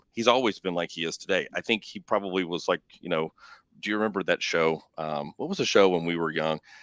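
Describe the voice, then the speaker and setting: A man with a Texan accent at a fairly quick pace, the sound dry and close with no echo. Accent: Texan Southern US. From East Texas. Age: 40s. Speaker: real estate executive. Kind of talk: interview. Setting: live online show. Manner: casual, hesitant with fillers.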